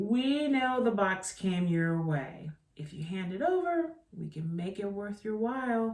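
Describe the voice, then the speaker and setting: A put-on character voice with a fairly high pitch. It runs on with hardly any pauses. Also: fairly slow pace. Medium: read story. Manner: slick, sleazy salesman tone.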